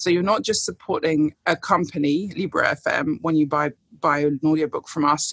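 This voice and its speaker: A woman talks at a moderate pace with a British accent. Her pitch varies in an ordinary way, and the sound is dry and close with no echo. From United Kingdom. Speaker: guest book recommender. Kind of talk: casual chat.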